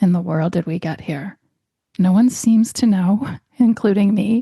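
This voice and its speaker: A woman speaks at a moderate pace in a gentle, warm, dark and mellow tone that is somewhat breathy. Her intonation is fairly even, and the sound is dry and close with no echo. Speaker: health podcast host and doctor. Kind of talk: podcast monologue.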